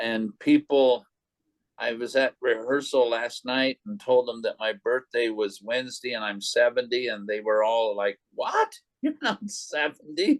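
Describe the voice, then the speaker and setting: The recording sounds dry and close, without any echo. A man talks at a fairly slow pace. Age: 60s. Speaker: poet, poetry group host. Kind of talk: poetry reading.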